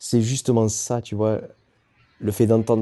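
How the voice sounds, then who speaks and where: Dark and mellow in tone, the man's voice rests at a medium pitch. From southwest France. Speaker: endurance athlete. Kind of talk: interview. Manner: animated.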